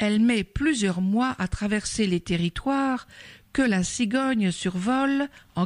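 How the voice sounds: The voice reads naturally. It stays that way from start to finish.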